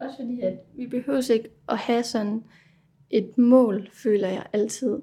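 Very slow and in monotone, flat intonation, a woman speaks in a fairly high pitch with a dark, mellow tone. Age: 20s. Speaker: resident of a psychiatric residential home. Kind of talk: casual chat.

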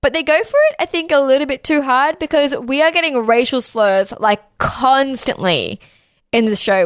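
This woman speaks with an Australian accent at a fairly quick pace. Her pitch is high, and her intonation is lively. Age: 20s. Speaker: podcast host. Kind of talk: casual chat.

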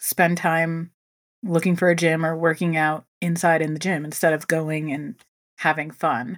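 A woman's fairly low voice at a moderate pace, an ordinary speaking voice on a very clean recording with a silent background. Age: 30s. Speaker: fitness instructor. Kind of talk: casual chat.

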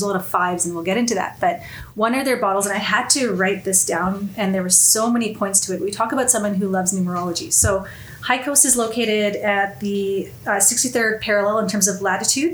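Audible room echo and noticeable background noise surround the voice. Its pitch variation is ordinary. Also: woman. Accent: Canadian. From Canada, Winnipeg. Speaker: whisky enthusiast. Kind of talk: casual chat. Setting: studio.

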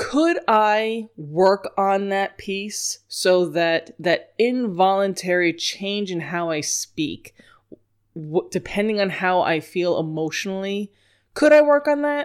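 Lively intonation marks this very slow delivery in an American accent. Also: woman, medium pitch for a woman, very clean recording, silent background. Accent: New York accent, only when upset. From New York. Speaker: dog trainer. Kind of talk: solo podcast lecture.

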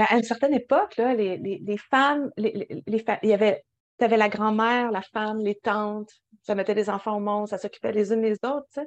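A woman's fairly high voice with a Quebec accent, fairly even intonation and a moderate pace, dry and close with no echo, over a quiet background. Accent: Québécois French. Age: 30s. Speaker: podcast co-host. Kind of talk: casual chat.

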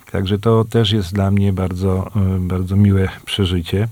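A man speaks at a fairly low pitch in a dark, mellow tone. His intonation is monotone and flat, and his pace is fairly slow. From Poland, Częstochowa area (Kłomnice). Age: old. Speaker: radio show host. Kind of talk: casual radio chat.

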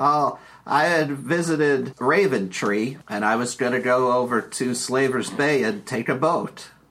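A man puts on a character voice at a medium pitch. He barely pauses at all. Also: moderate pace. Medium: actual play. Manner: chatty, bumbling.

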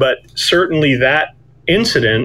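With a plain, everyday voice, a man speaks at a moderate pace and shows ordinary pitch variation. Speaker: author and guest. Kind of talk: interview conversation, faith testimony.

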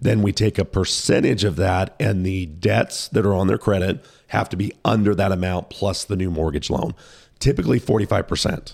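Very deep, low male voice with vocal fry, ordinary pitch variation and a moderate pace, in a very clean recording with a silent background. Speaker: mortgage lender. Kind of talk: casual explanatory interview. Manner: explanatory, knowledgeable.

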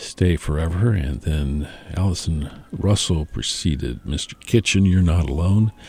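Very deep and low, this man's somewhat breathy voice has a dark, mellow tone, ordinary pitch variation and a fairly slow pace. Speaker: radio host.

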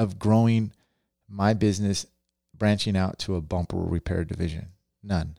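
A man with a fairly low voice and ordinary pitch variation speaks at a moderate pace. His tone is animated. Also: very clean recording, silent background. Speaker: podcast host and dent repair trainer. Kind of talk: casual chat.

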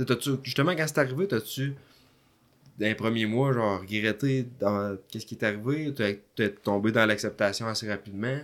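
The speaker has a Quebec accent, a moderate pace and ordinary pitch variation, heard on a very clean recording with a silent background. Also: man, medium pitch for a man. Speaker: podcast host. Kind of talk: casual chat.

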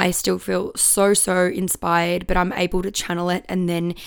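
Her medium-pitched voice moves at a moderate pace as the woman speaks. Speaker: podcast host and musician. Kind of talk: casual solo monologue.

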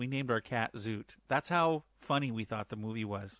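In a normal speaking voice, a man talks at a moderate pace with ordinary pitch variation, the sound dry and close with no echo over a quiet background. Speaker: podcast listener. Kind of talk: recorded listener message. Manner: excitable.

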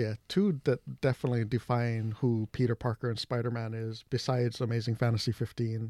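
A man's dark, mellow voice at medium pitch, fairly quick with hardly any pauses and fairly even intonation, in a dry, close sound with no echo on a very clean recording with a silent background. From Hawaii. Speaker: comic book shop owner. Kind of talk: casual chat.

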